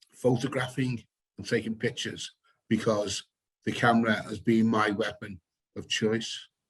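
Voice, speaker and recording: A man with a British accent speaks at medium pitch, somewhat breathy and monotone, with flat intonation. His pace is moderate, his loudness swings widely, and he leaves long, frequent pauses. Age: 60s. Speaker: photographer and activist. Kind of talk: panel discussion.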